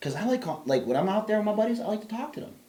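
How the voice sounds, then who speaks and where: A man talks loudly at a very fast pace with very wide pitch swings. Noticeable background noise is present. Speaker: podcast co-host. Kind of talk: casual chat. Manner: animated.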